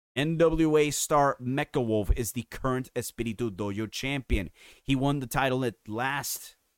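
With a Spanish accent, a man speaks in an animated tone with ordinary pitch variation, recorded very cleanly against a silent background with a dry, close sound and no echo. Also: medium pitch for a man, fairly slow pace. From Puerto Rico. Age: 30s. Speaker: wrestling podcast host and writer. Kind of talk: casual opinionated podcast talk. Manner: animated, opinionated.

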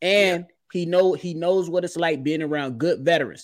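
Recorded very cleanly against a silent background, a man speaks with a fairly high pitch. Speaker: sports podcast host. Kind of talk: casual sports chat. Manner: fast; animated.

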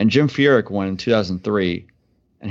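An unremarkable speaking voice from a man, fairly low in pitch with ordinary pitch variation. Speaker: podcast co-host. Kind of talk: casual chat.

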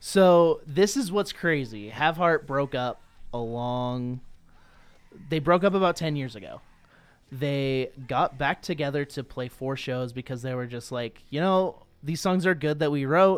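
A man with an ordinary speaking voice talks fairly slowly, his pitch fairly high with ordinary variation. The recording is very clean, and the background is silent. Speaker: wrestling podcaster. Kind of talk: casual chat.

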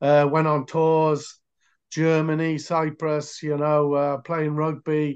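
Against a quiet background, a man with a Welsh accent talks at a very slow pace, fairly high in pitch and flat, monotone in delivery. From Wales, near Cardiff. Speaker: American football coach. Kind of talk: interview. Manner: halting.

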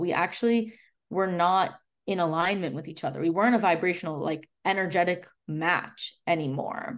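A woman with an American accent has an unremarkable speaking voice at a medium pitch. Her intonation is lively, her pace moderate, and the background quiet. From Chicago. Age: 20s. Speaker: holistic nutritionist and podcast host. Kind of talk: casual interview chat.

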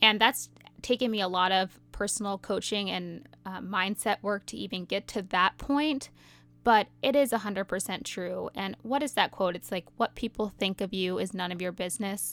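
A woman at medium pitch with vocal fry, ordinary pitch variation and a moderate pace, in a very clean, silent-background recording with a dry, close sound and no echo. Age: 30s. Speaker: podcast host and motherhood influencer. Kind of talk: solo podcast monologue. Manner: animated.

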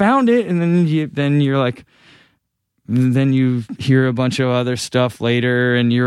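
A man with a normal speaking voice and an American accent talks fairly slowly at a medium pitch. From Massachusetts, New England. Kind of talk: casual interview.

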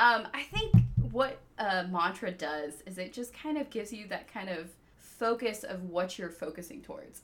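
A woman with an American accent speaks at a moderate pace in an ordinary speaking voice, with ordinary pitch variation. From US South, Georgia (Peachtree City). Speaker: attorney. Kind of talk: casual interview.

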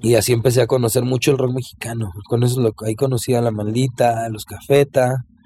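Over music in the background, a man speaks at a fairly quick pace with hardly any pauses, in a monotone, flat voice at a medium pitch. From Mexico, Zapopan (Guadalajara area). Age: 40s. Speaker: ska-punk singer. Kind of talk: casual chat.

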